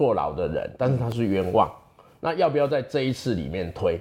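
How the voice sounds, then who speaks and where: A man talks at a moderate pace with a medium pitch. Vocal fry and very wide pitch swings run through his voice. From Taiwan, Chiayi mountains. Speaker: legislator and lawyer. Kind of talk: interview. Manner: many fillers and hesitations.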